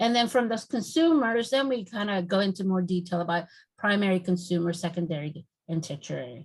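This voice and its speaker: In a Spanish accent, a somewhat breathy voice moves at a fairly quick pace with lively intonation, on a very clean recording with a silent background. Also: woman, medium pitch for a woman. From Mexico (Mexico City). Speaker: naturalist trainer. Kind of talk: lecture. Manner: fast when excited.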